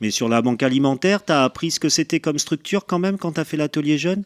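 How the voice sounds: A man's fairly high, lively voice at a fairly quick pace, with a dry, close sound with no echo and a very clean recording, silent background.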